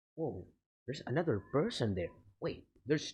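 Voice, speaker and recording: A man speaks at a moderate pace with a somewhat breathy sound. His pitch makes very wide swings. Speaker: gaming YouTuber. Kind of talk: gameplay commentary. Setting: at home at night. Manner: quiet, talking softly.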